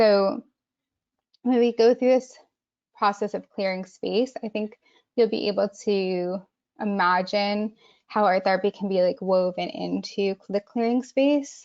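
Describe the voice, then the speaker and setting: With an American accent, the speaker moves at a fairly slow pace, using ordinary pitch variation and long, frequent pauses. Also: woman, medium pitch for a woman. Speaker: art therapist. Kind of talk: webinar presentation and guided exercise. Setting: online webinar.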